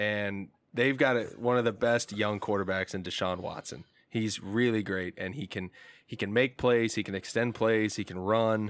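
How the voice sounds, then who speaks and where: In a very clean recording with a silent background, a man with a plain, everyday voice speaks at a moderate pace, his pitch fairly low and his intonation fairly even. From Indiana. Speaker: sports fan and football commentator. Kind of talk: casual chat.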